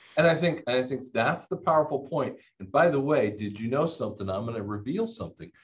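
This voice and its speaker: A man talks at a very fast pace in a fairly high, somewhat breathy voice. His pitch swings very widely, and the background is quiet. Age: 50s. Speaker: audiologist and clinic owner; audiologist debater. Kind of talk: casual debate discussion. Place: home room. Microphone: webcam.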